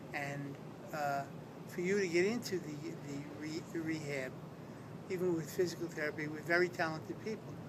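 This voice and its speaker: A man with an American accent and fairly high pitch, moderate pace with long, frequent pauses, noticeable background noise and audible room echo. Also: fairly even intonation. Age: 60s. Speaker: retired police detective, stroke patient. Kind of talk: interview testimony. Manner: halting.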